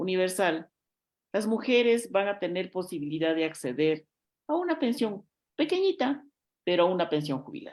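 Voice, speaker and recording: The recording is very clean, with a silent background. A woman with an unremarkable speaking voice and medium pitch speaks at a moderate pace. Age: 60s. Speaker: politician. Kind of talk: interview.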